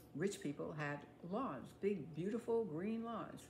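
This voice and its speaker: A woman speaks with an American accent, her pitch swinging very widely. Noticeable background noise runs behind her. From United States. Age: 80s+. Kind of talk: casual talk to camera.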